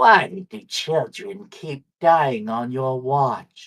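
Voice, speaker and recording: A put-on character voice at a low-to-middle pitch moves at a very slow pace, menacing in tone and cackling. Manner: cackling, menacing.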